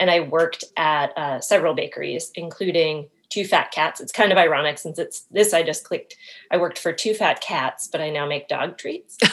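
A woman with an American accent talks at a moderate pace, her loudness swinging widely. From Maine, US. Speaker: small business owner, dog treat baker. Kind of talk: casual interview. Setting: call.

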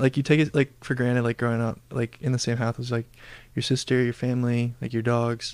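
Speaking very fast with monotone, flat intonation, a man with an American accent talks at a medium pitch in a dry, close sound with no echo. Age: 20s. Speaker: engineering student. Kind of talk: casual chat.

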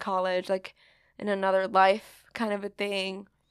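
A woman with a Californian accent, in a very clean recording with a silent background and a dry, close sound with no echo. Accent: general American, Californian. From San Francisco Bay Area, US. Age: 20s. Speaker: podcast host. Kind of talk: casual chat.

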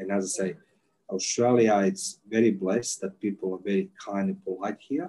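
A man speaks at a moderate pace with a Croatian accent. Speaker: intelligence and interrogation expert. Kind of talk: casual interview.

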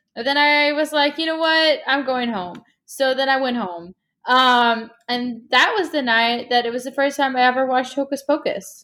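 High-pitched and raised, a woman's projected voice moves with ordinary pitch variation. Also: moderate pace. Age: 20s. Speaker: podcast co-host. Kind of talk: casual chat.

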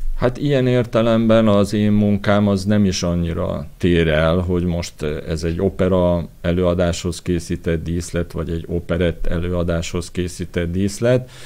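With a dark, mellow tone, the voice moves at a fairly slow pace with ordinary pitch variation and hardly any pauses. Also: man, very deep, low pitch for a man. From Hungary, Pécs. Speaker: architect and set designer. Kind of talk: interview.

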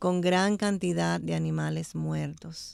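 The background is silent and the recording very clean. The voice belongs to a woman. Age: 60s. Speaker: church women's ministry member. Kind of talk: radio Bible study discussion. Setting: studio.

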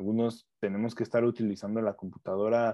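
A man with a Mexican accent, medium pitch and a very fast pace. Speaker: food chemist. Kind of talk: casual chat.

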